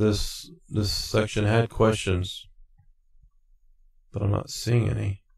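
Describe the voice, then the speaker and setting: With monotone, flat intonation, a man talks at a fairly slow pace in a somewhat breathy voice. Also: long, frequent pauses. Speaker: CDL exam tutorial maker. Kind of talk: tutorial. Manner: halting, many fillers. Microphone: new mic with reverb.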